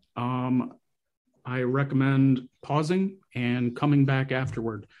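Here is a man with an unremarkable speaking voice at a medium pitch. He talks at a fairly slow pace with fairly even intonation. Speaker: podcast co-creator and host. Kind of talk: casual chat.

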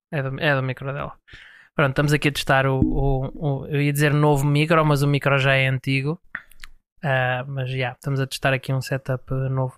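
In a very clean recording with a silent background and a dry, close sound with no echo, the voice speaks at a moderate pace with monotone, flat intonation. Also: man, fairly high pitch for a man. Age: 20s. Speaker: podcast host. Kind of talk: casual chat.

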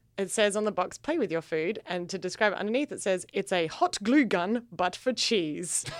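A woman with an Australian accent speaks at a moderate pace with ordinary pitch variation and hardly any pauses, over noticeable background noise. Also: medium pitch for a woman. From Australia, Adelaide. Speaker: comedian. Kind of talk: casual chat.

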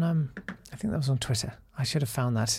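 A man's voice comes across somewhat breathy. The recording is very clean, with a silent background. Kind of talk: casual chat. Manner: rambling, self-deprecating, hesitant.

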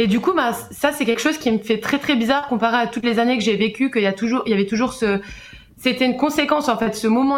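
A woman's high voice at a very fast pace, with fairly even intonation. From Switzerland. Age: 20s. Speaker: caller sharing personal experience. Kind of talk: testimony.

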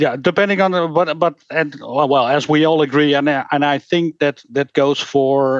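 The speech comes at a fairly slow pace, with a dry, close sound with no echo and a quiet background. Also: man. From Netherlands. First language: Dutch. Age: 50s. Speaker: game designer and rules author. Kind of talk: interview. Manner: halting.

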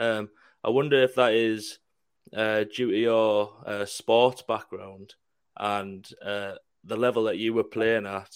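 Very slow, monotone, flat speech from a man at medium pitch, on a very clean recording with a silent background. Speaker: podcast co-host. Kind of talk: casual chat.

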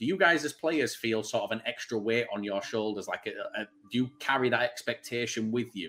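A man with a Manchester accent talks at a fairly quick pace and medium pitch, bright and sharp in tone, with lively intonation and hardly any pauses. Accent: Greater Manchester English. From Bury, Greater Manchester, England. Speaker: podcast host. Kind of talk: casual chat.

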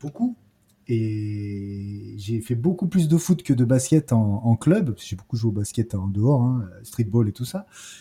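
Very slow, somewhat breathy speech from a medium-pitched man with lively intonation. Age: 40s. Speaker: basketball podcaster and streamer. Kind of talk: casual chat. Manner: halting, many hesitations.

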